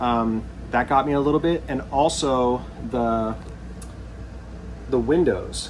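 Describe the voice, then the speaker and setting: A man's voice with noticeable background noise. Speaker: RV YouTuber. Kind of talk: video tour. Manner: fast; casual, halting with fillers.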